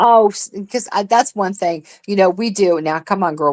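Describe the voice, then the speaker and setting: A woman speaks at a moderate pace, her pitch shifting in an ordinary way. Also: very clean recording, silent background. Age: middle-aged. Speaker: live streamer. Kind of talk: casual chat. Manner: animated.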